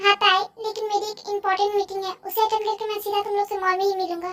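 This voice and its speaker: In a put-on character voice, the speaker squeaks at an extremely high pitch, racing along very fast with monotone, flat intonation. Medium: fan dub.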